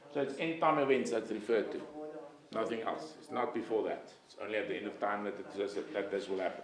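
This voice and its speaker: A man talks very fast at a medium pitch, with lively intonation and big swings in loudness, amid noticeable background noise and audible room echo. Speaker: bible college lecturer. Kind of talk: lecture.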